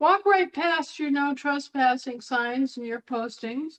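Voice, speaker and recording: Speaking at a fairly slow pace, a woman uses a high pitch. Her intonation is lively. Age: 60s. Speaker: online talk show speaker on legal and sovereignty topics. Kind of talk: monologue to a live online audience. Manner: halting with frequent repetitions.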